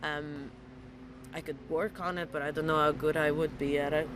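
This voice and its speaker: Over noticeable background noise, a woman talks in a very deep, low voice. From Italy. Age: 30s. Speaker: model and actress. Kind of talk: casual interview.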